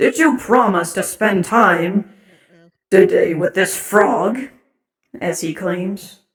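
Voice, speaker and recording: A raspy put-on character voice at a middle pitch, very slow, with long, frequent pauses. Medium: read story. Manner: curt, authoritative.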